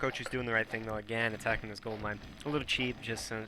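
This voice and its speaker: Very fast, monotone speech from a man with a fairly low pitch and a bright, sharp tone, the intonation flat. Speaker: game shoutcaster. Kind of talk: live commentary. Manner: hesitant, many fillers.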